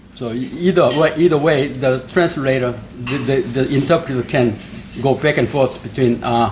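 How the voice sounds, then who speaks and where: A man speaks in a fairly high pitch with ordinary pitch variation. There is noticeable background noise. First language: Korean. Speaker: forum host, institute head. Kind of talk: welcoming address. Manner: halting, frequent fillers.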